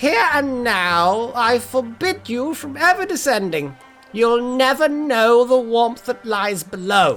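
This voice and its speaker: Faint music plays in the background as a put-on character voice speaks at a fairly high pitch and a fairly slow pace. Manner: commanding, forbidding.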